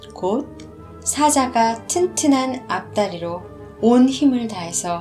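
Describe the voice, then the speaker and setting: Against music in the background, a woman speaks at a very slow pace with a fairly high pitch and lively intonation. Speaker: audiobook narrator. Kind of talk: story narration.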